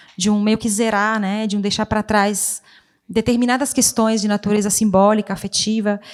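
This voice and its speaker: A woman speaks at a moderate pace with an Italian accent and a fairly high pitch. Her intonation is monotone and flat, on a very clean recording with a silent background. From Italian-speaking Switzerland. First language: Italian (speaking Portuguese). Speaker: poet and writer. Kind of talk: literary panel discussion. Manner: halting.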